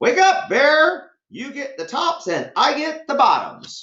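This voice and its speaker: This put-on character voice is high-pitched and moves at a fairly slow pace. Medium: read story. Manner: smooth, persuasive.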